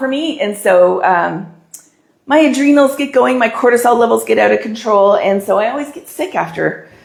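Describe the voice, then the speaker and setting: A woman's lively intonation amid audible room echo. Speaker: balloon decorating instructor. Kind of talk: tutorial. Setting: live stream.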